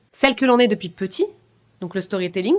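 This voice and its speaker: A woman talks loudly with lively intonation. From France, Paris suburbs (Seine-Saint-Denis). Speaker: business coach. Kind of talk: podcast interview. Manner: fast.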